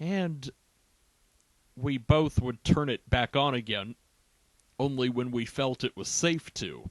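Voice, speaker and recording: Dry and close with no echo, a man of medium pitch speaks very slowly, with long, frequent pauses and ordinary pitch variation. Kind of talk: humorous documentary-style monologue.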